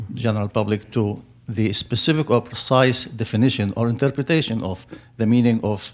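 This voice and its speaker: With an Arabic accent, a man speaks at a fairly quick pace in a medium pitch with fairly even intonation. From Middle East (Turkey or Syria). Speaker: audience member asking a question. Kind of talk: audience question at public forum. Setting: public forum with audience. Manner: halting.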